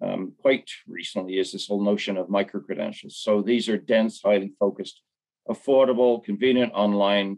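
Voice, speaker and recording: Against a quiet background, a man with an ordinary speaking voice talks at a moderate pace, fairly low in pitch and with fairly even intonation. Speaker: panelist. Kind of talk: panel discussion answer. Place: home room. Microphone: video call.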